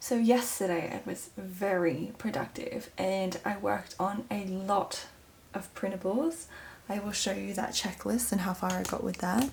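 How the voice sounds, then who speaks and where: Speaking quietly in a raspy, put-on character voice, a woman keeps a medium pitch and ordinary pitch variation. Her pace is moderate, with light background noise. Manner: quiet, hushed.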